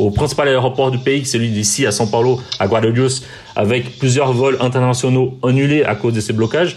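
A man at a medium pitch speaks at a fairly quick pace with very even loudness and fairly even intonation over noticeable background noise. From Brazil. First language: Portuguese (speaking French). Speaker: TV journalist. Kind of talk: interview. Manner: halting, with repetitions.

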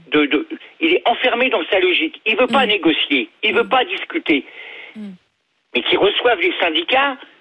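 Speaking at a fairly quick pace with long, frequent pauses, a man uses an extremely high pitch with very wide swings. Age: 60s. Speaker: retired logistics worker, radio caller. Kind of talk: phone-in call. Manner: hesitant.

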